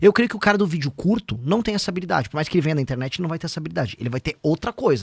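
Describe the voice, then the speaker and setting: A man rattles along at a very fast pace with hardly any pauses, in a fairly high voice with vocal fry. His pitch swings very widely, and the sound is dry and close with no echo. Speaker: political pre-candidate and internet personality. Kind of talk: podcast interview.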